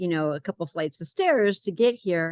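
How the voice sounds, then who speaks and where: An ordinary speaking voice moves at a moderate pace, with a dry, close sound and no echo. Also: woman. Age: 60s. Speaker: client giving a health program testimonial. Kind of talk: testimony.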